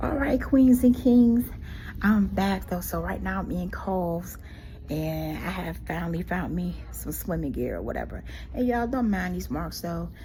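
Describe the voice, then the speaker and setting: A woman at a moderate pace, with audible room echo. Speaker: vlogger. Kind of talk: casual story time vlog. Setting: at home; in a store. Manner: animated.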